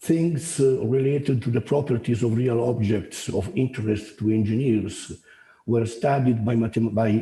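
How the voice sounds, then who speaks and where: At a moderate pace, a man talks in a somewhat breathy voice of medium pitch. His pitch varies an ordinary amount. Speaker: professor. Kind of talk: lecture. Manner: halting.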